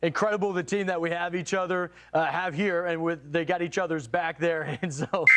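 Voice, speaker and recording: A man speaks in a high voice at a moderate pace, his loudness very even, with noticeable background noise behind him. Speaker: live news anchor. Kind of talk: live breaking weather coverage. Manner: animated.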